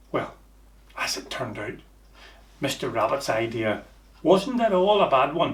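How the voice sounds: A man speaking fairly slowly with big pitch swings, audible room echo around him. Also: medium pitch for a man.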